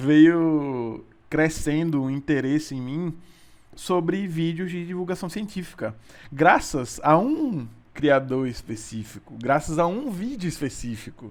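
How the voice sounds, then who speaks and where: A man talks very slowly, his intonation lively. The background is silent on this very clean recording. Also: fairly high pitch for a man. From Sergipe, Brazil. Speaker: physics student and podcast co-host. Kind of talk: casual chat. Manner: hesitant, many repetitions and fillers.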